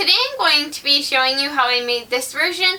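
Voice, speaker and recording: A woman uses a raised, projected voice at a high pitch. Her pitch varies in an ordinary way, with noticeable background noise. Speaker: home sewist. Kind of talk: sewing tutorial voice-over.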